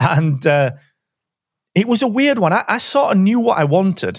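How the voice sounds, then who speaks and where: With a South Yorkshire accent, a man talks with lively intonation in a very clean recording against a silent background. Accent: Barnsley, South Yorkshire. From Barnsley, northern England. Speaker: podcast host. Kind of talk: casual interview chat.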